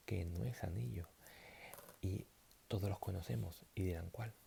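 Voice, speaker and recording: Relaxed in tone, a man speaks with vocal fry and very wide pitch swings. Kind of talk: math lesson roleplay, explaining rings and natural numbers. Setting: talking to camera, explaining abstract algebra. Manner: soft-spoken, relaxed, improvised.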